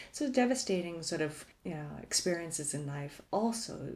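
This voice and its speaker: With a Canadian accent, a woman speaks at a moderate pace in a very deep, low voice that is somewhat breathy. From Canada, Toronto. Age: 40s. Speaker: podcast guest sharing life story. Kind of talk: casual interview.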